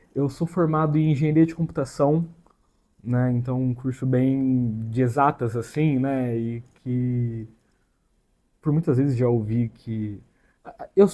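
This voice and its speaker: At a fairly slow pace, a man speaks with a medium-pitched, dark, mellow tone, ordinary pitch variation and long, frequent pauses. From interior of São Paulo state, Brazil (Catanduva). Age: 30s. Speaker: YouTuber, computer engineer. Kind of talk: casual vlog introduction. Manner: hesitant, filler-heavy casual speech.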